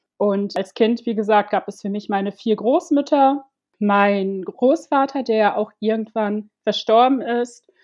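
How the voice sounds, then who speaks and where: The voice moves at a very slow pace with ordinary pitch variation. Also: woman, fairly high pitch for a woman. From Ivory Coast, Germany from age six. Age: 30s. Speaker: domestic violence survivor and activist. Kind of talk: personal testimony in interview.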